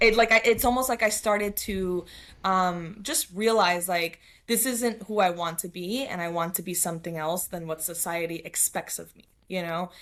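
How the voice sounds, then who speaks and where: A woman with a New York accent speaks at a medium pitch and moderate pace, with ordinary pitch variation and big swings in loudness, in a very clean recording with a silent background. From New York City (Queens). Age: 30s. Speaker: spiritual coach. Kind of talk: podcast interview.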